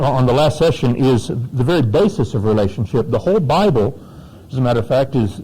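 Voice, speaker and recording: Here a man talks with an American accent. His intonation is lively and his voice somewhat breathy. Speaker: pastor. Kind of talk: workshop talk. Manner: informal, off the cuff; halting, many fillers.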